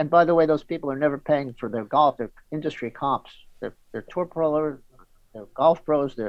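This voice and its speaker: With a New York accent, a man speaks in a fairly high pitch at a moderate pace, with ordinary pitch variation and long, frequent pauses. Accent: New York American. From New York City. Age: 60s. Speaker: golf journalist. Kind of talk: interview.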